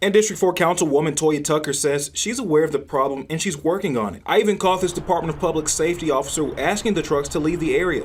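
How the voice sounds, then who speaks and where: Very fast speech from a man with a fairly high pitch and ordinary pitch variation. Background noise is noticeable. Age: 20s. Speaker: TV news anchor and reporter. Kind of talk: TV news package narration.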